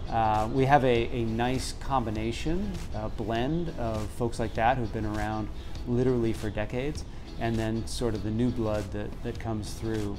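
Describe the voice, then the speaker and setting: Faint background music plays beneath a man talking at a moderate speed. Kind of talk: interview answer. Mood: warm, proud. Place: cafe. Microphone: lapel.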